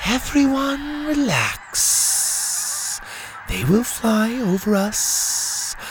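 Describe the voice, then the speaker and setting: Clear background noise sits behind a put-on character voice. It is fairly high-pitched and very slow. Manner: calm, unperturbed.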